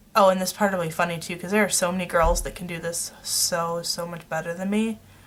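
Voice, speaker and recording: Someone mumbles at a fairly quick pace with fairly even intonation. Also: woman. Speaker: beauty vlogger. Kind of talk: makeup tutorial. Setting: at home. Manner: mumbling; loud.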